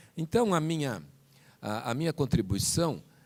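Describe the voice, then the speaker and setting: Lively in intonation, a man speaks at a moderate pace in a dark, mellow tone. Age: 60s. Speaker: physician and professor. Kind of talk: panel talk. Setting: conference hall with audience. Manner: halting.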